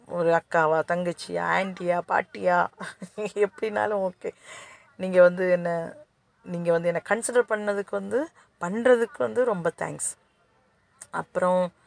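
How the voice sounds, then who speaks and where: A woman's normal speaking voice, fairly low in pitch, with a dry, close sound with no echo. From Kanyakumari district, Tamil Nadu–Kerala border. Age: 40s. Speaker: podcaster and story writer. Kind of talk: casual monologue. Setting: government office waiting area.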